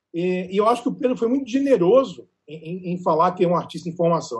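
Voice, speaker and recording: Lively intonation colors this man's high-pitched speech. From Northeast Brazil, raised in Natal. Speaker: culture journalist. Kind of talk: casual panel discussion.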